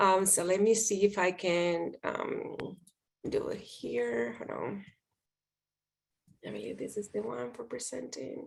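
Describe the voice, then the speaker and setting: A woman with a Spanish accent speaks at a fairly slow pace. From Dominican Republic. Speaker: public speaking coach. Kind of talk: presentation talk.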